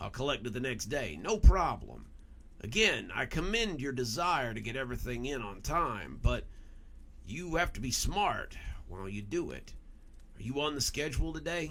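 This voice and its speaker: A man performs a put-on character voice, raspy and at medium pitch. He keeps a moderate pace over clear background noise. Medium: read story. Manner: warm, encouraging.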